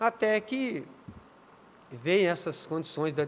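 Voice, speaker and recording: A man is speaking. His intonation is lively. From Minas Gerais, Brazil (Contagem). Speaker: city councillor and community leader. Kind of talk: interview.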